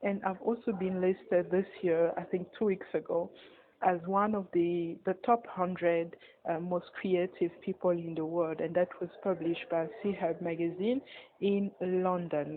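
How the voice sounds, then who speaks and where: A woman with a French accent, fairly slow in pace, her intonation fairly even. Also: medium pitch for a woman. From Republic of Congo. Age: 20s. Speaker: magazine editor and media entrepreneur. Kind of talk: personal story monologue. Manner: hesitant, many fillers and repeats.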